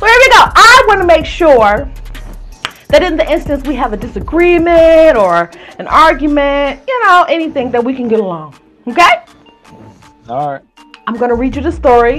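The speech moves at a fairly quick pace with faint music in the background. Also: woman. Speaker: interview host. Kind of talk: playful interview banter, telling a scenario. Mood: playful, teasing, laughing.

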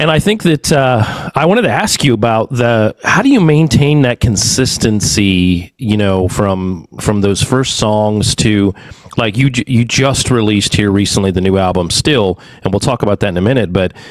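A man's unremarkable speaking voice, fairly low in pitch, with ordinary pitch variation, very even loudness, a moderate pace and a dry sound with no echo. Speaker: podcast host. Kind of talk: interview. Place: home room. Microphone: studio mic.

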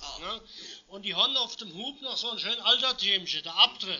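A man speaks with a Moselle Franconian accent at a fairly slow pace. Noticeable background noise can be heard. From Hunsrück, Rhineland-Palatinate. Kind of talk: dialect demonstration, giving directions.

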